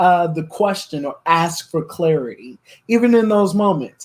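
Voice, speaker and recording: A man at a fairly slow pace with lively intonation. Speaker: business consultant and podcast co-host. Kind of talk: business podcast discussion. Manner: slow, with pauses.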